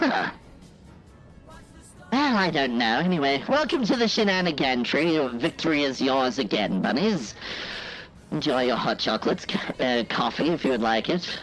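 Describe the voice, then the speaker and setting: Someone does a put-on character voice at a low-to-middle pitch and moderate pace, with long, frequent pauses and clear background noise. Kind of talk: military commander barking orders. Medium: game stream. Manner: theatrical, energetic.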